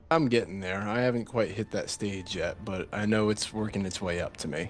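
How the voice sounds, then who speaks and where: Heard here is a normal speaking voice with ordinary pitch variation, moving at a fairly quick pace. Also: man, fairly low pitch for a man. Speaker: esports commentator. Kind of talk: live commentary. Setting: live stream.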